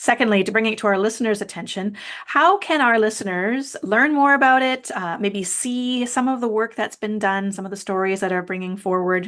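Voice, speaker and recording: Using a plain, everyday voice, a woman with a Canadian accent speaks fairly quickly at a fairly high pitch, with ordinary pitch variation and hardly any pauses. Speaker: podcast host. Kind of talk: podcast interview.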